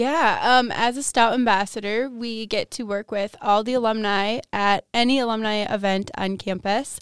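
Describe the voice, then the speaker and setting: A woman with an American accent has an ordinary speaking voice at a fairly high pitch, with fairly even intonation. She keeps a moderate pace with hardly any pauses, in a very clean recording with a silent background. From Wisconsin, Milwaukee area. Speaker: university student. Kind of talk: casual chat.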